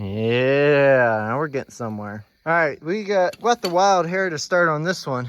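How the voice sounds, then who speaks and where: A loud, fairly high male voice with very wide pitch swings, fairly slow yet with hardly any pauses, over a quiet background. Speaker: farmer restoring an old tractor. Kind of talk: casual workshop video tutorial. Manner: casual, filler-heavy.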